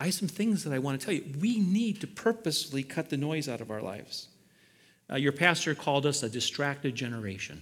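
In a very clean recording with a silent background, a man talks at a fairly quick pace, his fairly high voice making very wide pitch swings. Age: 60s. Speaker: pastor. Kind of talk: sermon. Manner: animated.

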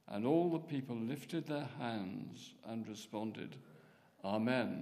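With vocal fry, a man speaks at a medium pitch and a very slow pace, using ordinary pitch variation. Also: long, frequent pauses. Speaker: scripture reader. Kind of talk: reading aloud. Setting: church.

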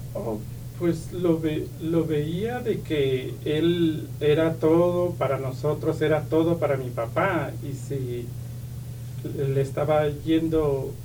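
A man's fairly high voice at a very slow pace, with ordinary pitch variation and audible room echo. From Oaxaca, Mexico (Isthmus of Tehuantepec). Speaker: pastor's son, church member. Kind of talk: testimony. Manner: halting, many fillers and repetitions.

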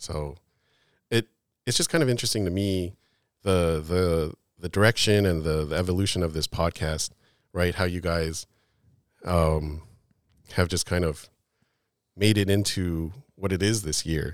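A man's very deep, low voice at a moderate pace, with fairly even intonation and long, frequent pauses, on a very clean recording with a silent background. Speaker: guest. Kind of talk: casual chat.

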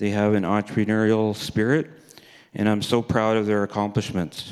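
With a Canadian accent, a man of fairly low pitch speaks at a moderate pace. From Alberta, Canada. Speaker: recovering addict in rehab program. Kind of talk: testimony read aloud. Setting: church.

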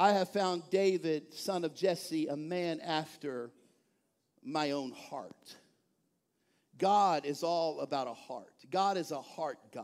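Speaking very slowly with long, frequent pauses, a man with a Texan accent holds a high pitch. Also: ordinary pitch variation. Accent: Texan Southern US. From East Texas. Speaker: pastor. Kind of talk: sermon. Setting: church. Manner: animated.

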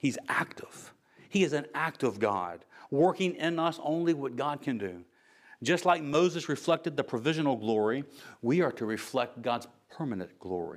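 A man with an American accent has a normal speaking voice at a fairly high pitch. His intonation is lively, and the recording is very clean with a silent background. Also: moderate pace. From United States. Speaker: pastor. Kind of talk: sermon.

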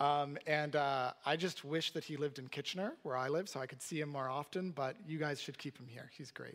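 In a Canadian accent, a normal speaking voice moves at a fairly quick pace with hardly any pauses and fairly even intonation. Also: man, fairly high pitch for a man. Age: 30s. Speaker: pastor. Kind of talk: sermon.

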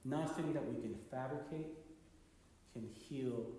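A man speaks with very wide pitch swings, with noticeable background noise and audible room echo. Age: 30s. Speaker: pastor. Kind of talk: sermon. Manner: halting.

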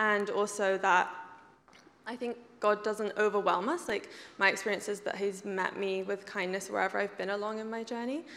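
A woman with an English accent speaks at a moderate pace with fairly even intonation. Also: medium pitch for a woman. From England. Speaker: church member sharing testimony. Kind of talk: testimony.

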